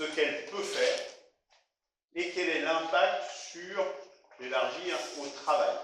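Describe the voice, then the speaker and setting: A man talks at a fairly slow pace with lively intonation. Audible room echo surrounds his voice. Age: 60s. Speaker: retired software engineer giving a talk. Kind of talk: presentation talk. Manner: halting, many filler sounds.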